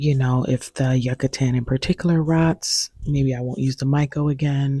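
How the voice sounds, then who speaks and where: A soft-spoken woman's very deep, low voice, dark and mellow and somewhat breathy, with fairly even intonation at a moderate pace in a dry, close sound with no echo. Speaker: plant YouTuber. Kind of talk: casual vlog tutorial. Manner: soft-spoken, quiet.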